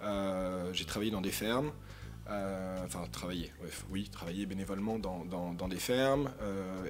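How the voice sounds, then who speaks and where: With audible room echo, a man talks at a fairly slow pace in a fairly low pitch. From Paris, France. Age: 30s. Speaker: author and social science doctoral student. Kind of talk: public talk at a conference. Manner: hesitant, many repetitions and fillers.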